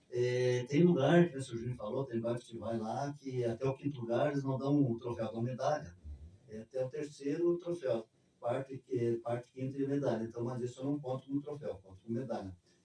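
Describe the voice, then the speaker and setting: Noticeable background noise behind a man's medium-pitched voice with fairly even intonation. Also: fairly quick pace. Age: 70s. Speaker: street runner. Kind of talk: interview.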